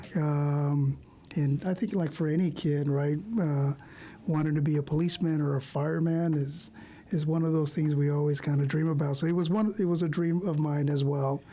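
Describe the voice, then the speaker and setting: This man's voice is fairly high in pitch, with a dark, mellow tone and a somewhat breathy quality. He keeps a moderate pace, fairly even intonation and very even loudness. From Oxnard, California, with early years in Mexico. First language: Spanish. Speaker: police commander. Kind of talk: interview. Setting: live video stream.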